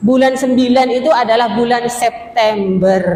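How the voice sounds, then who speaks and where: A woman with a Madurese accent speaks very slowly at a high pitch. Noticeable background noise and audible room echo surround her voice. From Madura. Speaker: female Islamic preacher. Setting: mosque. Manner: interactive, asks audience questions.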